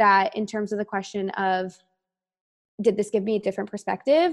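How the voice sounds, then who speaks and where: A woman with a Canadian accent speaks in a plain, everyday voice at a medium pitch, her pitch varying in an ordinary way. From Canada, Toronto. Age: 20s. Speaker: brand marketing professional. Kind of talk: casual interview chat.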